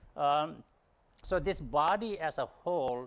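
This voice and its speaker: A man is speaking. He has a Tibetan accent. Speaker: dharma interpreter. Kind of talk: teaching translation. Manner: hesitant, many fillers.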